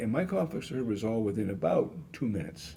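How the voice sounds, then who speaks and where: Fairly quick and lively in intonation, a man talks with a fairly low pitch and a dark, mellow tone. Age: 70s. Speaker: author and conflict management expert. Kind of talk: podcast interview. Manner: conversational, folksy.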